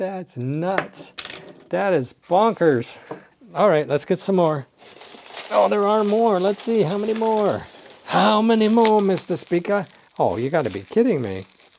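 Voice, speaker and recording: With noticeable background noise behind him, a man speaks at a high pitch and a fairly slow pace, his tone animated and his intonation lively, broken by long, frequent pauses. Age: 60s. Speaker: toy car collector. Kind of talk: unboxing video. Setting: home desk.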